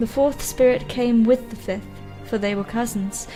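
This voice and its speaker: With music in the background, a woman speaks at a fairly high pitch. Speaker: gamer and streamer. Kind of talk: dramatic reading of game lore.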